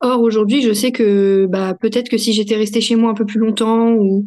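A woman's dark, mellow tone, fairly slow, with monotone, flat intonation. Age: 30s. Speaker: mother sharing birth story. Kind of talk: casual interview testimony.

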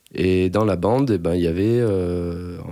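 Very clean audio, silent behind a man with a very deep, low pitch and ordinary pitch variation. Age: 30s. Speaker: computer science researcher. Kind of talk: interview testimony. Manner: halting, many fillers.

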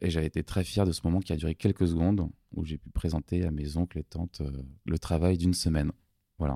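With a very deep, low pitch and a dark, mellow tone, a man talks at a fairly quick pace in a monotone, flat intonation, on a very clean recording with a silent background and a dry, close sound with no echo. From Paris, France. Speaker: doctor turned music producer. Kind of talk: interview. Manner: halting.

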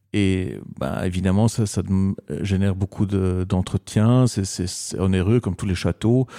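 In a very clean recording with a silent background, a man's dark, mellow tone comes through with a dry, close sound and no echo. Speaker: designer. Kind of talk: radio interview. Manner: halting.

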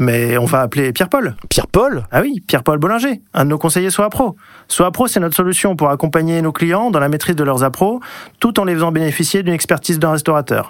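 Lively intonation runs through this voice. It moves fairly quickly. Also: man, high pitch for a man. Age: 40s. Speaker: company operations director. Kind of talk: scripted radio guest talk.

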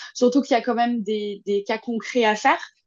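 Speaking at a moderate pace with fairly even intonation, a woman has an ordinary speaking voice. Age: 20s. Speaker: dog behaviourist and agility trainer. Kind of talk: casual interview.

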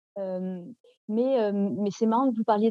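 The woman's fairly high pitch rises and falls with ordinary variation. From France, Nantes. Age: 30s. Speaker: novelist and translator. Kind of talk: interview. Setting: podcast interview. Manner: halting, many hesitations.

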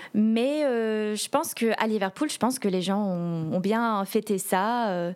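Pitched in the middle of her range, a woman's voice shifts in pitch in a normal, ordinary way. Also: very clean recording, silent background. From London, England. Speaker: Eurovision fan guest. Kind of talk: casual chat.

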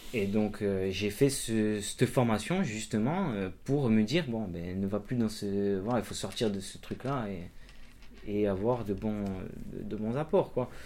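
A man talks with a fairly low pitch. His tone is dark and mellow. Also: ordinary pitch variation, fairly slow pace. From Corsica. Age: 30s. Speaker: amateur trail runner and cyclist, electrician. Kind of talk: interview, casual chat. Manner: hesitant, many fillers.

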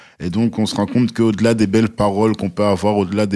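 The recording is very clean and the background silent. A man's tone comes across dark and mellow. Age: 30s. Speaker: new father. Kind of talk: casual chat.

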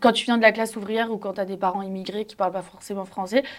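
A woman speaks in a normal speaking voice, medium in pitch, with fairly even intonation. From Paris, 8th arrondissement. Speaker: journalist. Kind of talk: casual debate.

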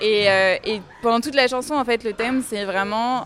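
A woman talks at a fairly slow pace in an ordinary speaking voice with ordinary pitch variation. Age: 20s. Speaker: book lover guest. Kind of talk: casual chat.

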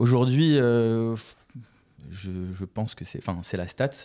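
A man speaks at a medium pitch. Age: 20s. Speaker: trainee chartered accountant and entrepreneur. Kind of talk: podcast interview.

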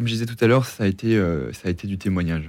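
This man's fairly low voice carries lively intonation. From Normandy, France. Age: 20s. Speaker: engineering consultant and author. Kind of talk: interview testimony. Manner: halting, many hesitations and repeated words.

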